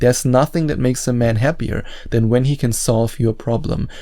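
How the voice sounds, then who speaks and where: With a non-native accent, a man speaks at a medium pitch and moderate pace. His tone is dark and mellow, his intonation fairly even. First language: not English. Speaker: dating coach YouTuber. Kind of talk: advice talk to camera.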